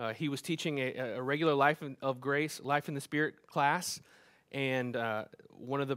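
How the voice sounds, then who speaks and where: Over a quiet background, a man talks with fairly even intonation. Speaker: church pastor. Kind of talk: church announcements before a sermon. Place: stage.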